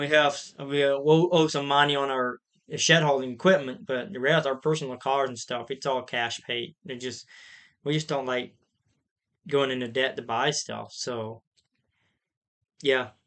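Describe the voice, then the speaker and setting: A man with an American accent, fairly high in pitch, at a fairly slow pace with fairly even intonation and long, frequent pauses. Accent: Amish accent noticed by viewers. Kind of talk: livestream Q&A. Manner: casual, conversational.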